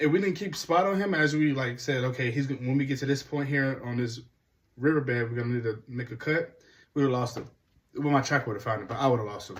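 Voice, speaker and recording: A man talks at a very fast pace with medium pitch and ordinary pitch variation. His voice is somewhat breathy. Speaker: hunting vlogger. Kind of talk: casual first-person story recap.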